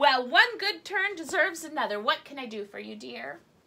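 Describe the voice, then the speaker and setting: The woman puts on a character voice, pitched high and delivered at a moderate pace. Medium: read story. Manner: playful, punning.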